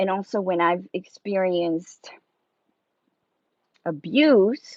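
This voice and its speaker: Speaking very slowly in a Spanish accent, a woman holds a medium pitch, her sound dry and close with no echo. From South America. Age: 30s. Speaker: live streamer. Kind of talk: casual live-stream chat. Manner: halting, many fillers.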